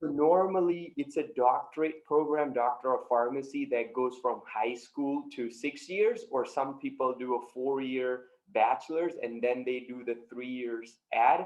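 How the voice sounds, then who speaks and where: The speaker moves at a fairly slow pace with hardly any pauses and ordinary pitch variation. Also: man, medium pitch for a man. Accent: Indian. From India. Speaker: high performance coach. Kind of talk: podcast interview.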